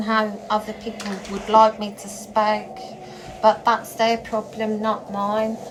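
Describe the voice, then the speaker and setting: A woman's fairly high, monotone voice with flat intonation, at a very slow pace, with big swings in loudness and noticeable background noise. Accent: Norfolk. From England, Norfolk. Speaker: spiritual vlogger. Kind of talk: monologue vlog. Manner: blunt; halting, repeats words.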